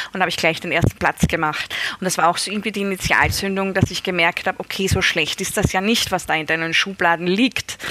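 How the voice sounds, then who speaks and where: Noticeable background noise sits behind a woman of medium pitch who talks very fast with fairly even intonation. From Austria, Styria. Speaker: novelist. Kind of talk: interview.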